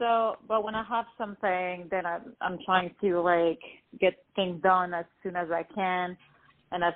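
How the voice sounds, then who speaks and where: At a fairly slow pace, a woman speaks with medium pitch and fairly even intonation. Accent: French. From France, born in Lebanon. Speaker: R&B singer-songwriter. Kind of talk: interview.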